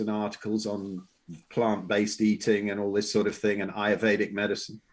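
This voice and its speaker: A fairly low-pitched man with an English accent. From England. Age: 60s. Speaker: health and wellness coach. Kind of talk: podcast interview. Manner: halting, with many fillers and repeats.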